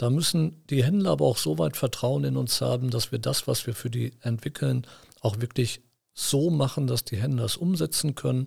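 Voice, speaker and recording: A somewhat breathy man talks at a moderate pace. His pitch swings very widely. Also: medium pitch for a man. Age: 50s. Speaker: company executive. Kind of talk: interview. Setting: studio.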